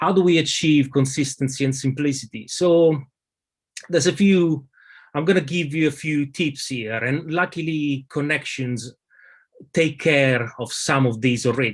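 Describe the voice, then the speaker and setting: A man speaks with a strong Italian accent. He keeps a moderate pace and ordinary pitch variation. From Italy. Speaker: lead designer. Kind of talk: conference presentation. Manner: halting, many fillers.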